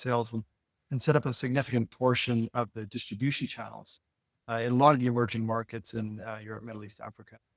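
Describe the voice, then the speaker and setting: Recorded with a dry, close sound and no echo, a man of medium pitch talks very fast in an American accent. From Utah, US (Salt Lake City). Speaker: medical device executive. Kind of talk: interview.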